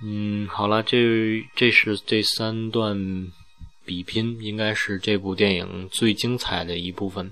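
Over music in the background, a man with a fairly low pitch talks at a very slow pace in a monotone, flat intonation. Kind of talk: solo podcast narration.

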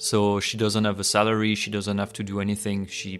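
Music can be heard behind a man with a French accent. His pitch is fairly low. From France, Paris. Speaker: podcast guest. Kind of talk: casual chat.

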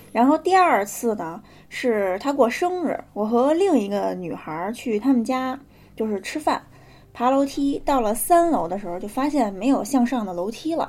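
A woman with a high pitch speaks at a moderate pace with very wide pitch swings, in a very clean recording with a silent background. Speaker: podcast co-host telling ghost stories. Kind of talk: casual storytelling chat.

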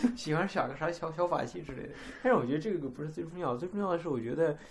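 A man's voice sits high in pitch, and his intonation is lively. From China. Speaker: podcast co-host. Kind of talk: casual chat.

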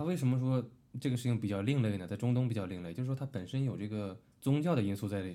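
This man has a medium pitch and a dark, mellow tone with ordinary pitch variation. He speaks at a very fast pace. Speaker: podcast co-host. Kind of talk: casual chat.

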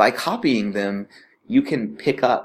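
A man speaks at a fairly slow pace with an American accent. His ordinary speaking voice sits at a medium pitch. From United States. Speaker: radio host and English teacher. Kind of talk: casual explainer monologue.

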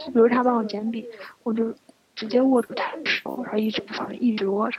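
Using a normal speaking voice, a woman speaks in a fairly high pitch, her intonation fairly even. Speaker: podcast co-host. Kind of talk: casual chat. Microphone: laggy connection.

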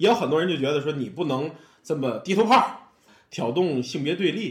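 A man with a Tianjin accent speaks at a fairly quick pace in an animated tone with very wide pitch swings. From Tianjin, China. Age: middle-aged. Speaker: amateur storyteller and comedy fan. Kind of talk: casual chat.

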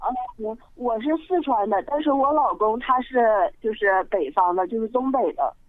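Speaking at a moderate pace, a woman uses a high pitch that swings very widely. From Sichuan. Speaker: caller. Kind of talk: phone-in storytelling. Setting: phone call.

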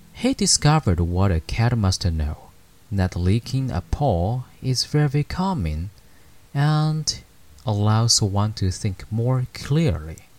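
Somewhat breathy, the voice moves at a very slow pace with very wide pitch swings. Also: man, medium pitch for a man. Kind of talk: bedtime story telling, read aloud in English then Chinese. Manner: gentle, slow and calm, reading with soft dramatic pauses and dialogue; measured, soothing, formal narration.

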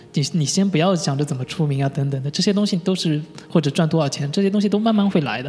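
Very fast speech from a man with a fairly high pitch and ordinary pitch variation, over noticeable background noise. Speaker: UI designer. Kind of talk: interview. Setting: studio. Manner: halting, many fillers.

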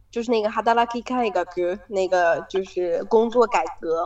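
Here is a woman with an unremarkable speaking voice. Her pitch is medium and her pace moderate. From China. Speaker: student abroad, office worker. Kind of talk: casual chat.

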